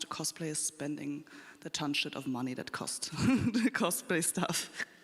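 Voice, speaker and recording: Noticeable background noise is present. Through it, a woman speaks at a moderate pace. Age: 20s. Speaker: cosplayer panelist. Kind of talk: convention panel talk.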